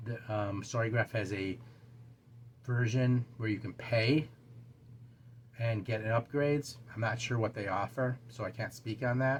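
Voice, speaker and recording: A man with a medium pitch speaks at a fairly slow pace. His voice is somewhat breathy, with monotone, flat intonation. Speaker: booktube channel host. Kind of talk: casual talk to camera. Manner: halting, stumbling over words.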